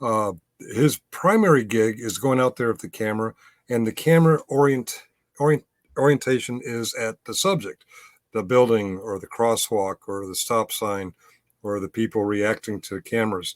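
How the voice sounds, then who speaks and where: Heard in a dry, close sound with no echo, a man talks at medium pitch with lively intonation. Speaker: YouTube commentator and camera auditor. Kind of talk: pre-recorded solo commentary. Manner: fast; hesitant, many fillers.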